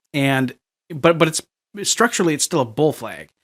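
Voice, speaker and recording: A man with a slight Minnesota accent and fairly even intonation, on a very clean recording with a silent background. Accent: northern US (Minnesota) accent, slight. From US Upper Midwest (Minnesota). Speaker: crypto market analyst. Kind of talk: technical analysis commentary. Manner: casual, halting with many fillers.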